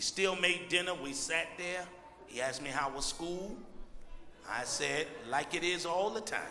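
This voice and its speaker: With an American accent, the speaker talks at a moderate pace with ordinary pitch variation, leaving long, frequent pauses, while audible room echo and light background noise sit behind the voice. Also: man, high pitch for a man. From Brooklyn, New York. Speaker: preacher. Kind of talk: sermon. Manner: excited, intense. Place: church. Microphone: handheld.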